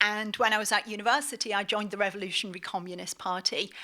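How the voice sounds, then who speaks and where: With a British accent and a bright, sharp tone, a woman speaks at a fairly quick pace in a medium pitch with fairly even intonation, on a very clean recording with a silent background. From northeast England, Middlesbrough. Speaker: academic and author. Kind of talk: lecture.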